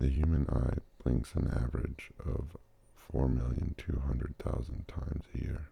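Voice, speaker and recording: A man whispers at a moderate pace. He is soft-spoken. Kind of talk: ASMR whispered fact reading. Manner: whispered, soft.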